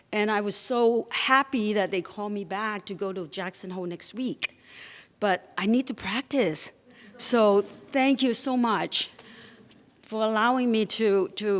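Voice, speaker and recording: Her pitch medium with ordinary variation, a woman talks at a fairly slow pace. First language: not English. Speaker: storyteller. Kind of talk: live storytelling. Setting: stage with audience.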